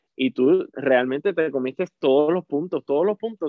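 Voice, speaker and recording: A man with a Puerto Rican accent speaks at a moderate pace in a fairly high pitch with ordinary pitch variation. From Puerto Rico (Salinas). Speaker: theatre actor. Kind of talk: interview.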